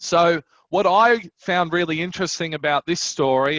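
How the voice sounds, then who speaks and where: A man with a fairly high pitch and ordinary pitch variation is heard in a dry, close sound with no echo. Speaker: wine broker. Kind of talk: online wine tasting presentation. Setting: online event.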